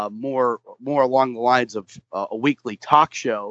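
The voice keeps a fairly slow pace and fairly even intonation. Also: man. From Pittsburgh area, US. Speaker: arena announcer and play-by-play broadcaster. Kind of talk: interview. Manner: halting, many fillers.

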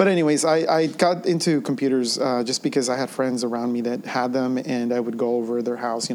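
At a fairly quick pace, a man with a medium pitch talks in an unremarkable speaking voice. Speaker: podcast co-host, educator. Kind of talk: casual tech podcast chat.

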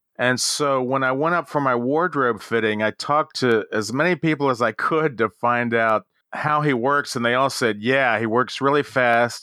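With an American accent, a man at medium pitch talks at a moderate pace in a bright, sharp tone with ordinary pitch variation, the sound dry and close with no echo on a very clean recording with a silent background. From Baltimore, Maryland. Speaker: character actor. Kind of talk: interview conversation.

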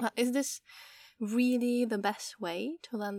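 A woman with a Czech accent talks at a fairly slow pace with ordinary pitch variation. The recording is very clean, with a silent background and a dry, close sound lacking echo. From Czech Republic. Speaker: podcast host and Czech language tutor. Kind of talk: casual solo podcast monologue. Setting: outdoors in a garden. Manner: frequent laughter.

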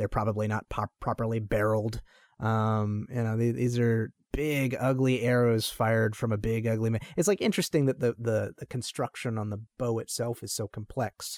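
On a very clean recording with a silent background, a plain, everyday voice speaks at a moderate pace with fairly even intonation, the sound dry and close with no echo. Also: man, medium pitch for a man. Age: 30s. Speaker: podcast host and martial artist. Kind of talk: casual chat.

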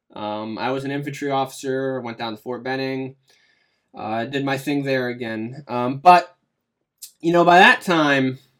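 Over a silent background in a very clean recording, a man with an American accent and an ordinary speaking voice talks at a moderate pace with lively intonation. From western Pennsylvania. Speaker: war veteran and podcaster. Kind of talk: interview.

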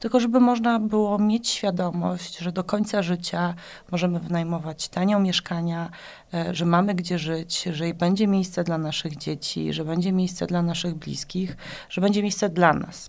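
Recorded very cleanly against a silent background, a woman with a plain, everyday voice speaks at a moderate pace in a fairly low pitch with fairly even intonation. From Poland, Płock region. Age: 40s. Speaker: politician. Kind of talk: interview.

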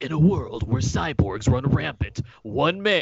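Putting on a character voice, a man at a medium pitch speaks at a moderate pace with very wide pitch swings. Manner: dramatic, grave.

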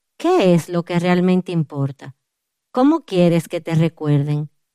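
The recording is dry and close, with no echo. A woman speaks at a fairly slow pace in a dark, mellow tone with ordinary pitch variation. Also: very clean recording, silent background. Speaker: author and women's ministry speaker. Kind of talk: testimony.

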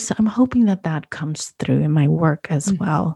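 The voice is somewhat breathy and dark, mellow in tone, with ordinary pitch variation and a fairly quick pace. The sound is dry and close, with no echo. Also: woman. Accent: American. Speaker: food photographer and podcaster. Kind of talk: interview conversation.

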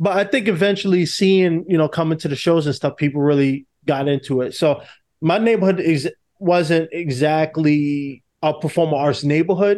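In a New York accent, a man with a fairly high pitch talks at a moderate pace with ordinary pitch variation. His loudness stays very even against a quiet background. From New York City. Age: 20s. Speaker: actor. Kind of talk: interview.

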